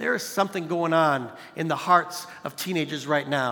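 A man talks at a high pitch. Noticeable background noise runs behind him. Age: 40s. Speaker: youth pastor. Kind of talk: sermon. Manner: animated.

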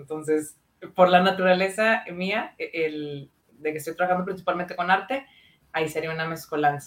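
A woman speaks at a moderate pace with a fairly low pitch and ordinary pitch variation. Her plain, everyday voice shows big swings in loudness. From Monterrey, northern Mexico. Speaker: psychologist. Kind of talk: casual chat.

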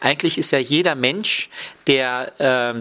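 On a very clean recording with a silent background, a man speaks fairly slowly in a fairly high voice with lively intonation. He has a plain, everyday voice. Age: 30s. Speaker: Bible college lecturer and dean of students. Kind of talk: radio interview.

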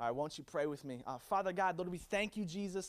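Lively intonation and an animated tone come from this man. The recording is very clean, with a silent background. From US, Virginia-born, Puerto Rican family. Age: 20s. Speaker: youth pastor. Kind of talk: high-energy youth sermon with call-and-response. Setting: stage with live audience. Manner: animated, hyping the crowd with repeated calls for amens; stammering, filler-heavy delivery full of ums and repeated words.

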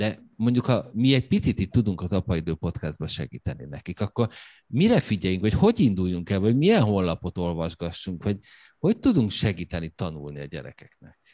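A man speaks in a low pitch with a slightly mellow tone. His pitch swings widely.

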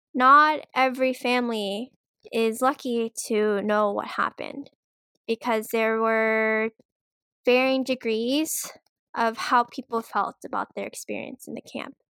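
A woman with a fairly high, bright, sharp voice speaks at a fairly slow pace with fairly even intonation. The recording is very clean and dry, close, with no echo and a silent background. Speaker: podcast co-host. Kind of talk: casual chat.

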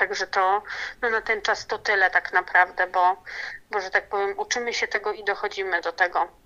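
With a bright, sharp tone, a woman speaks at a fairly quick pace in a flat monotone at medium pitch against a quiet background. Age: 30s. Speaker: new mother of a premature baby. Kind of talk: interview. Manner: halting, many fillers and repetitions.

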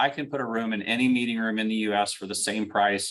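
With an American accent, a man speaks very fast at a medium pitch, with ordinary pitch variation and a quiet background. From Central Illinois, US Midwest. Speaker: company CEO. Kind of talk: interview.

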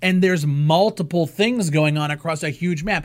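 A man uses an ordinary speaking voice with ordinary pitch variation at a moderate pace. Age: 20s. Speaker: gaming podcast host and streamer. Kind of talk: casual chat.

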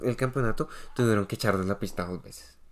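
A man talks at a fairly quick pace with vocal fry. The recording is very clean, with a silent background. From Colombia. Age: 20s. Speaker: podcast co-host. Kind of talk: casual chat.

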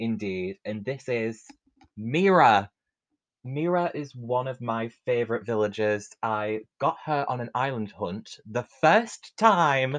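A man with a British accent and a medium-pitched voice speaks very slowly. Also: ordinary pitch variation. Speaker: podcast host. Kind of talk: casual chat.

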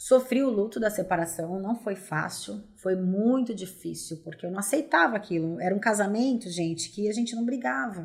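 This woman has a medium pitch, a somewhat breathy voice and lively intonation, and talks at a moderate pace. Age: 40s. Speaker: entrepreneur. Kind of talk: testimony.

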